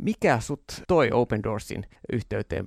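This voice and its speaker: A man with an ordinary speaking voice and lively intonation talks at a medium pitch in a dry, close sound with no echo, on a very clean recording with a silent background. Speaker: radio host. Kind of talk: interview.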